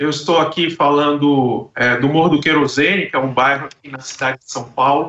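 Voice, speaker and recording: In an ordinary speaking voice, a man with a fairly high pitch speaks at a moderate pace with fairly even intonation, hardly any pauses and big swings in loudness. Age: 60s. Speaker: debate moderator and actor. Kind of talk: panel discussion opening. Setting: video call from home.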